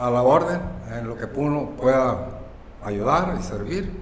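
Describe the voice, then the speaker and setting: This man's voice sits at a medium pitch and moves through very wide pitch swings. Audible room echo and noticeable background noise surround it. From Mexico, Baja California Sur. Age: 80s+. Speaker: local elder and foundry guide. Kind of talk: interview, personal storytelling.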